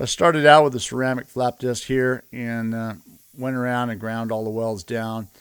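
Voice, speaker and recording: A man at a moderate pace and medium pitch, with fairly even intonation, on a very clean recording against a silent background. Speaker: welding and fabrication YouTuber. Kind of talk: workshop tutorial. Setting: metal workshop. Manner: casual, many filler words; loud, yelling across the shop. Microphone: camera far away.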